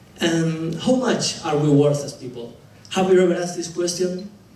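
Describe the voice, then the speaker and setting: Someone with a Spanish accent speaks at a fairly slow pace with ordinary pitch variation, with audible room echo and noticeable background noise. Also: man. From Argentina. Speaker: dentist and public speaker. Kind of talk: presentation talk. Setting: stage with audience. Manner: halting.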